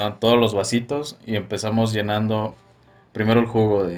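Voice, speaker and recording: A man with a Mexican accent, fairly low in pitch, at a moderate pace with fairly even intonation. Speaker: podcast host. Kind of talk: casual chat. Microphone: far from the mic.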